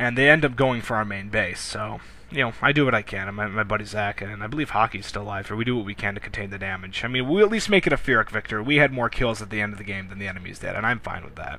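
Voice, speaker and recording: A man's very fast, fairly low-pitched speech with hardly any pauses, big swings in loudness, ordinary pitch variation and noticeable background noise. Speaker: gameplay commentator. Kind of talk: gameplay commentary. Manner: animated.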